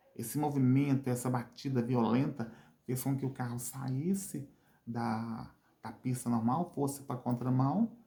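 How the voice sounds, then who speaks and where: Somewhat breathy and dark, mellow in tone, the voice moves at a very slow pace with ordinary pitch variation. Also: man. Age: 50s. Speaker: vlogger, wheelchair user. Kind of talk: channel call to action; personal testimony. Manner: halting, repetitive.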